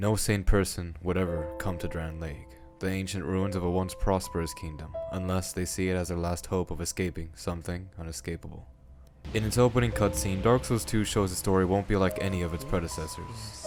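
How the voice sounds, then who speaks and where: A very deep, low-pitched man at a fairly quick pace, ordinary pitch variation, with music in the background. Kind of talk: video essay narration. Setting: worn home microphone, occasional popping.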